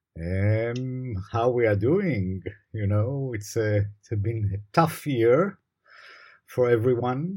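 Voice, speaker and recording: A man with an Israeli accent, a somewhat breathy voice, a dark, mellow tone, and a very slow pace. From Israel, Jerusalem. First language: Hebrew. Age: late career. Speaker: law professor. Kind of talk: interview. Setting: video call.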